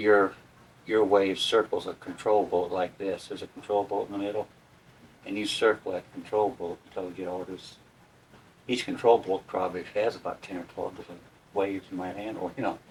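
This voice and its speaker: A man talks at a fairly quick pace with big swings in loudness over noticeable background noise. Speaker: war veteran. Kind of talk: interview answer.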